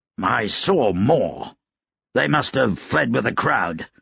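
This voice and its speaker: A man puts on a raspy character voice at a medium pitch. He talks at a fairly slow pace with very even loudness. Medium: read story. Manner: curt, commanding.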